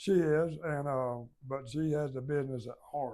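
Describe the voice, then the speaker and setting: A man with a Southern US accent talks at a fairly slow pace. His pitch is fairly high, and his intonation is fairly even. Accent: Southern US (Georgia). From US South, Georgia (Baxley). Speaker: business founder. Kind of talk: oral history interview. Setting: company headquarters.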